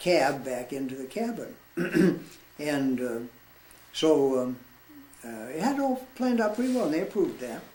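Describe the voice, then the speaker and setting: A man speaks at a fairly high pitch with very wide pitch swings and a moderate pace. Long, frequent pauses break up his speech over noticeable background noise. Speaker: war veteran. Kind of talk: storytelling, personal recollection.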